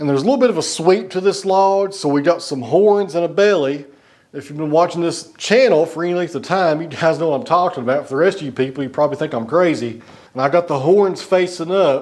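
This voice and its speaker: With a high pitch and ordinary pitch variation, a man talks at a very fast pace. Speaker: sawmill operator. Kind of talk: tutorial. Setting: outdoors.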